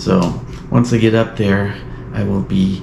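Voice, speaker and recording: A man's voice, with audible room echo and noticeable background noise. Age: 60s. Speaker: outdoor vlogger. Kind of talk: casual vlog talk to camera. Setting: outdoors on a trail. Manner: relaxed, hesitant with fillers.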